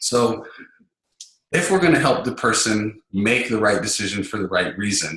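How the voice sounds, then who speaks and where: There is audible room echo as a man with a fairly low pitch and a bright, sharp tone speaks with ordinary pitch variation. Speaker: sales trainer. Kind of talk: webinar lecture. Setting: online webinar. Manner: fast.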